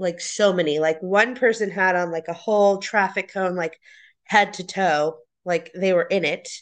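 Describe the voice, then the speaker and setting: With a quiet background, a woman with an ordinary speaking voice and medium pitch speaks at a fairly slow pace with fairly even intonation. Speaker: guest runner. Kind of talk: casual chat.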